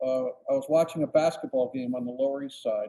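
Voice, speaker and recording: A man with a US Northeastern accent has a dark, mellow tone. His pitch is fairly high and his intonation lively. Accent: US Northeast. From Connecticut, Bridgeport. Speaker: photographer. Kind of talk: interview. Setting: podcast.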